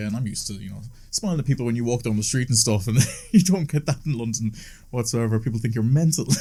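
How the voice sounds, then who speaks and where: Talking at a very fast pace in a Cork accent, a man has a dark, mellow tone, a medium pitch and a somewhat breathy quality. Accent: Irish (Cork). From Ireland, Cork. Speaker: DJ and music producer. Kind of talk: casual chat.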